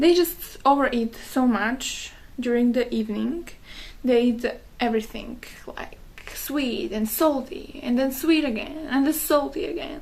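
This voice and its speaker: Her pitch high and her pace fairly slow, a woman with a non-native accent speaks with ordinary pitch variation. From Slovakia. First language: Slovak. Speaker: wellness content creator. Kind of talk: casual talk to camera. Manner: halting, many fillers.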